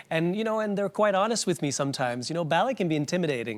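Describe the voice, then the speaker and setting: Speaking with a Quebec accent, a man uses lively intonation. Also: very clean recording, silent background. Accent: Québécois French-accented English. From Quebec, small town up north. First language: French. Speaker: ballet dancer and choreographer. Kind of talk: talk show interview.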